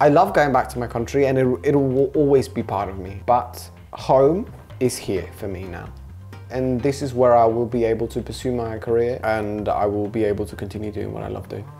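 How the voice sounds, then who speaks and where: A man at a moderate pace with ordinary pitch variation, faint music in the background. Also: big swings in loudness. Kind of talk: interview answer. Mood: relaxed, warm. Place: kitchen. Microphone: lapel.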